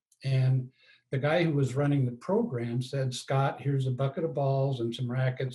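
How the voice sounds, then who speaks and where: His tone is dark and mellow, with a medium pitch. A somewhat breathy quality runs through this man's voice. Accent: American. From Colorado, US. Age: 70s. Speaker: tennis coach and author. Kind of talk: interview.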